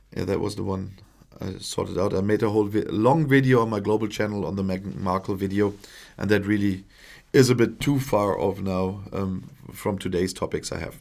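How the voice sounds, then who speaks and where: Speaking fairly quickly with a German accent, a man uses a fairly low voice and ordinary pitch variation. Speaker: political commentator, YouTuber. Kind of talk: live stream Q&A. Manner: halting, many fillers.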